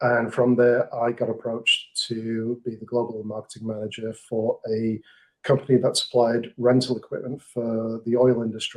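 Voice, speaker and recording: Speaking with an English accent, a man keeps a moderate pace and a monotone, flat intonation. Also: medium pitch for a man. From England. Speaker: marketing manager. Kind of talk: podcast interview.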